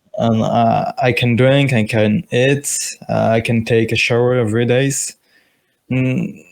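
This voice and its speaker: A man talks at a very slow pace in a medium pitch. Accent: French. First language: French. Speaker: stranger on a video chat. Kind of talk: casual chat. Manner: halting.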